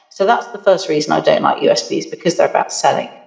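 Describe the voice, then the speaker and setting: Noticeable background noise fills the recording. Over it, a woman talks. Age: 50s. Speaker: marketing consultant. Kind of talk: interview.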